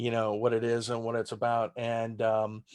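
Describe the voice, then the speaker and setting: Rather unhurried, a male voice talks at a mid-level pitch. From Texas, San Antonio. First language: German. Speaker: stand-up comedian. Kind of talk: casual interview chat. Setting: video call.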